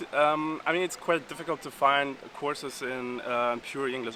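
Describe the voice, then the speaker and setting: Noticeable background noise is audible. The man's intonation stays fairly even. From Uzbekistan. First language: Uzbek. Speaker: exchange student. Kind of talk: casual interview. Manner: halting, many fillers.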